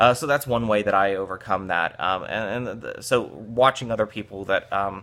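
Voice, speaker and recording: Speaking with hardly any pauses, a man uses a fairly low pitch, a bright, sharp tone and ordinary pitch variation on a very clean recording with a silent background. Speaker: business founder, content marketer. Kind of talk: solo talk-to-camera vlog. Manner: fast; halting, many fillers.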